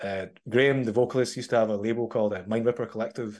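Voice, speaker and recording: A man with a Glaswegian accent speaks at a very fast pace against a quiet background. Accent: Glaswegian Scottish. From Scotland. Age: 30s. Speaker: metal musician. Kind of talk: casual interview chat.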